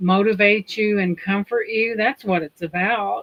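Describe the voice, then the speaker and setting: A woman with a Southern US accent speaks at a medium pitch, her intonation fairly even. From Indiana, US Midwest. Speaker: livestream host. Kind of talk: casual chat.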